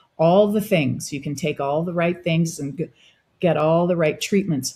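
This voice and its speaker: A woman with a somewhat breathy, dark, mellow tone speaks at a fairly low pitch and moderate pace, with ordinary pitch variation. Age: 60s. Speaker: wellness practitioner. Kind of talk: interview.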